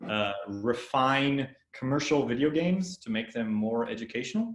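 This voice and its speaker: With an American accent, a man speaks in an ordinary speaking voice with ordinary pitch variation. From US, California (Stockton). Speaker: law lecturer. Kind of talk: webinar presentation.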